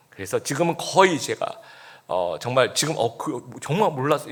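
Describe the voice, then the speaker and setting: This is a man speaking. He keeps a moderate pace. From Busan, South Korea. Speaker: pastor. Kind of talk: sermon.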